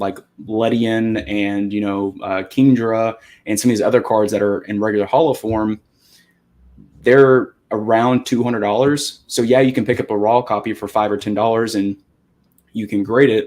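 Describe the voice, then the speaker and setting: A plain, everyday voice at a moderate pace, with fairly even intonation and a very clean recording over a silent background. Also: man, medium pitch for a man. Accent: American. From US Midwest, Wisconsin. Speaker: card collector. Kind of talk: casual chat.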